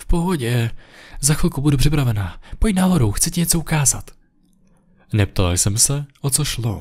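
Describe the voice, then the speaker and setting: A man speaks in a fairly high voice with very wide pitch swings. His loudness swings widely too. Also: quiet background. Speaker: creepypasta narrator. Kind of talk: scripted ghost story narration, first-person creepy tale. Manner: hushed, slow, suspenseful, ominous. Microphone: studio mic.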